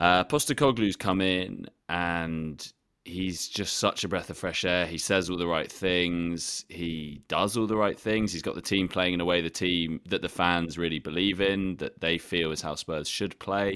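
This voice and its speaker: With an English accent and a very deep, low pitch, a man speaks at a fairly slow pace with hardly any pauses, fairly even intonation and a bright, sharp tone, on a very clean recording with a silent background. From England. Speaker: football journalist. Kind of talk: casual chat.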